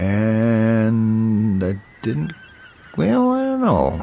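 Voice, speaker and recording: A man speaks with an American accent. Noticeable background noise is present. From northern Minnesota, upper Midwest US. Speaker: podcast host. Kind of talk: casual chat. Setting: streaming podcast with microphone.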